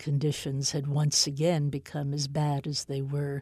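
A woman's very deep, low voice with an American accent, dark, mellow and somewhat breathy, on a very clean recording with a silent background. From US (New York, later elsewhere). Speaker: author. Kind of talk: interview.

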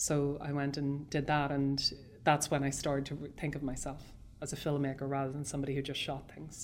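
Amid audible room echo, a woman with a Northern Irish accent and a very deep, low pitch talks fairly quickly in a flat, monotone way. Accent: Northern Irish border. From Irish border, South Armagh / Dundalk area. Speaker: film director. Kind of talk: interview. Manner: halting.

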